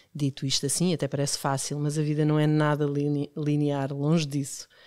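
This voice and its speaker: Her pitch sits very deep and low. Nothing but silence lies behind her on a very clean recording. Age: 50s. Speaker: podcast host. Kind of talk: interview hosting.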